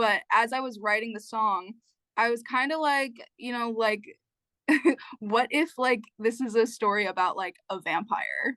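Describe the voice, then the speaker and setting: Fairly slow, fairly high-pitched speech from a woman with an American accent, bright and sharp in tone, with ordinary pitch variation over a quiet background. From New Jersey. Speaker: singer-songwriter. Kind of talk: interview answer. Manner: casual, conversational.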